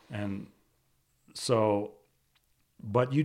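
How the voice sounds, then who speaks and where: Recorded very cleanly against a silent background, a man with an American accent speaks in a fairly low pitch with ordinary pitch variation. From Washington D.C. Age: 60s. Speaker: photographer. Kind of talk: interview. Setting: on location.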